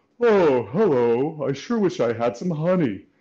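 A man performs a put-on character voice at a fairly high pitch. The background is quiet. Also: moderate pace. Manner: playful, teaching demo.

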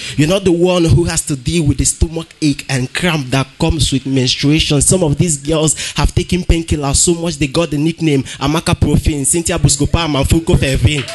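A fairly high-pitched man at a moderate pace, fairly even in intonation, with hardly any pauses and music in the background. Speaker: slam poet competitor. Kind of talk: slam poetry performance. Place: hall.

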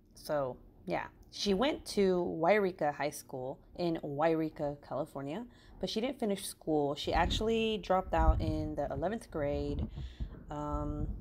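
A woman talks fairly slowly while noticeable background noise carries on behind her. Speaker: crafting true crime narrator. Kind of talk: casual podcast-style storytelling. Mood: casual, joking.

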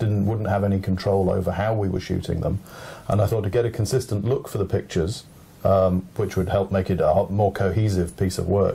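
A man speaks with an English accent. His pitch sits fairly low and his intonation stays monotone and flat. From England. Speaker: photographer. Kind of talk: speech, then interview. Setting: library event. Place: home room.

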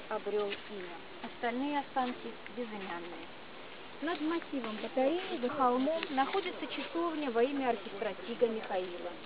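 The sound is dry, with no echo at all. Loud background noise runs underneath. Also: woman, moderate pace. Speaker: tour guide. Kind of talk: guided tour narration. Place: open country. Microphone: camera far.

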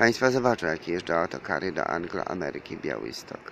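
A man's voice with very wide pitch swings, dry with no echo, over light background noise. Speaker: self-styled preacher vlogger. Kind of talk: religious monologue to viewers. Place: street. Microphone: phone near.

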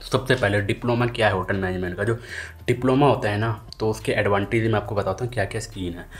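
Using an ordinary speaking voice, a man talks at a fairly low pitch and a fairly quick pace with fairly even intonation. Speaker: hotel management career vlogger. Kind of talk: casual vlog chat. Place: home room. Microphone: phone near.

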